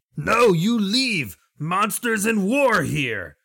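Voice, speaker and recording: A man's put-on character voice, raspy and high-pitched, shouting at a very slow pace. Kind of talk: broken English. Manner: yelling, angry.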